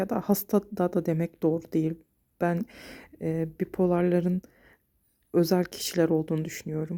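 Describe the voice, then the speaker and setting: A woman speaks at a moderate pace with long, frequent pauses, her fairly low voice dark and mellow in tone. Her intonation stays monotone and flat, and the sound is dry and close with no echo. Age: 40s. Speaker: vlogger with bipolar disorder. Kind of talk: personal vlog monologue. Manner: hesitant, with fillers.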